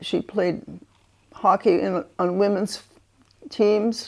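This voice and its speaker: Over a quiet background, a woman speaks at a very slow pace, medium in pitch with ordinary pitch variation and vocal fry. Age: 80s+. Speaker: elderly woman sharing life memories. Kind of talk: personal reminiscence. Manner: halting, many repeated words.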